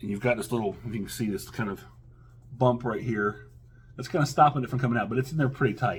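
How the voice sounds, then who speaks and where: Speaking very fast, a man uses a somewhat breathy, medium-pitched voice. His pitch varies in an ordinary way. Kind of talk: casual talk to camera, product unboxing review. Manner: hesitant, many filler words.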